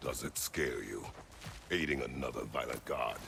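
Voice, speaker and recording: A man growls in a put-on character voice at a moderate pace over clear background noise. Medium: video game. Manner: terse, gruff.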